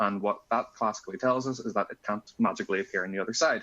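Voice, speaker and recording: A man talks with a Northern Irish accent. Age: 20s. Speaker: physics student and conference speaker. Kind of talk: conference talk. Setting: conference.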